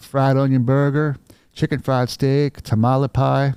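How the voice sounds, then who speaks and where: Someone puts on a drawling character voice with a Southern accent. The pace is moderate and the intonation monotone and flat. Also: man, medium pitch for a man. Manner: drawled, drawn-out words.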